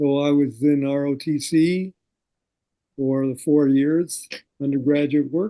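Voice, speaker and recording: Speaking very slowly with long, frequent pauses, a man with an American accent has a fairly high pitch, a dark, mellow tone and fairly even intonation. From US Midwest, South Dakota. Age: 70s. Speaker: war veteran. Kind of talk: interview.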